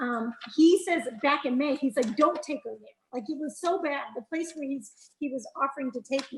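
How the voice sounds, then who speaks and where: This voice is loud, with ordinary pitch variation and a moderate pace. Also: woman, high pitch for a woman. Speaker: nurse and abuse survivor. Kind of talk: testimony. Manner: animated.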